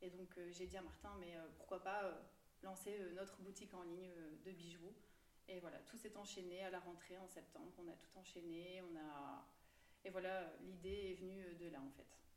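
Audible room echo surrounds a woman speaking at a fairly slow pace and medium pitch with fairly even intonation. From Belgium, Tournai region. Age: 20s. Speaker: entrepreneur and cancer patient. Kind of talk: interview.

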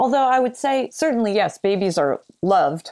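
A woman talking fairly quickly, with vocal fry and very wide pitch swings. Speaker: psychologist and psychoanalyst author. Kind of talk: interview conversation.

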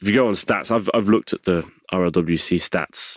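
A man with an English accent talks at a moderate pace with fairly even intonation, on a very clean recording with a silent background and a dry, close sound with no echo. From England. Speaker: wheelchair rugby league player. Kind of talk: casual chat. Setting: studio.

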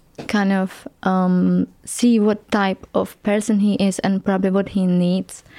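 On a very clean recording with a silent background, a woman with a Czech accent speaks in a dark, mellow tone with fairly even intonation. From Czech Republic. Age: 20s. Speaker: tantric massage therapist. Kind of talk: interview. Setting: studio.

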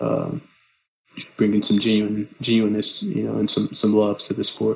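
With an American accent, a man has a plain, everyday voice, fairly low in pitch, with fairly even intonation at a moderate pace. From Los Angeles, California. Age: 30s. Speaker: runner. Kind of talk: casual chat.

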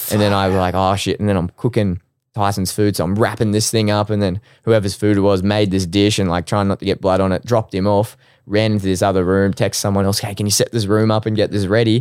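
In an Australian accent, the speaker goes at a very fast pace with monotone, flat intonation and very even loudness. The recording is very clean, with a silent background. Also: man, fairly low pitch for a man. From Australia, Brisbane. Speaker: sports dietitian. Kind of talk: casual interview.

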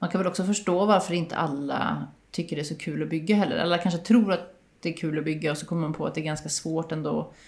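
A woman's fairly low voice with vocal fry, fairly even intonation and a very fast pace. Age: 40s. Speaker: podcast host. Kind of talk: casual interview chat. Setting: small apartment home studio.

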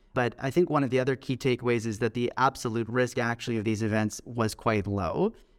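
A man speaks in an ordinary speaking voice with a Canadian accent. His pace is fairly quick. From Canada, Toronto. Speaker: pediatric researcher. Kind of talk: interview.

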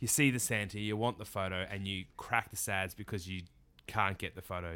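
A man speaks at a moderate pace in an Australian accent, his pitch fairly low and his intonation fairly even. The tone is bright and sharp, and the recording is very clean with a silent background. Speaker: podcast host, professional Santa performer. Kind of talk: casual chat.

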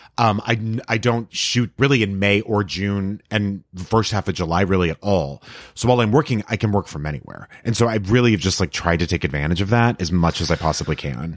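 A man with an American accent talks at a fairly quick pace in a plain, everyday voice, his fairly low pitch moving with ordinary variation, captured dry and close with no echo on a very clean recording over a silent background. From Texas, El Paso. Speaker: actor and comedian. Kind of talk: casual chat.

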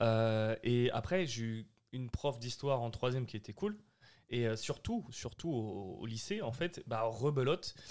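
This man talks at a very slow pace. His pitch is medium, with ordinary variation. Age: 30s. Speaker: podcast host. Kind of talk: casual chat.

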